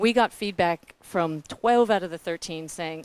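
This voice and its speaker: Sounding dry and close with no echo, a woman speaks in an animated tone at a moderate pace with very wide pitch swings. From New Zealand. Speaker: philanthropic foundation staff, panelist. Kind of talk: panel presentation.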